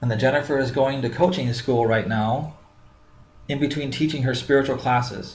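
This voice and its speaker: A man's medium-pitched, somewhat breathy voice at a moderate pace, with fairly even intonation and audible room echo. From Minnesota. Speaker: business coach. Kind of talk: tutorial.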